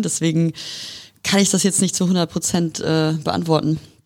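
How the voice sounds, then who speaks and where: A woman with an unremarkable speaking voice, fairly low pitch, fairly even intonation and a fairly quick pace, on a very clean recording with a silent background. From northern Germany, near Hanover. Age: young. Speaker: lawyer. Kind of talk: casual interview. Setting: law office.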